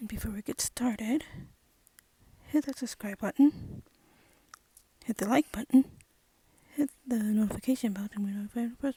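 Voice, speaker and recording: Whispering and somewhat breathy, a woman speaks with long, frequent pauses and big swings in loudness, the sound dry and close with no echo. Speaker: movie commentary youtuber. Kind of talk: casual commentary video.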